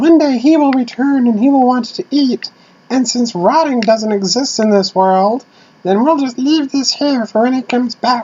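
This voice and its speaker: Put-on character voice from a man, pitched extremely high, delivered at a moderate speed. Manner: servile, matter-of-fact.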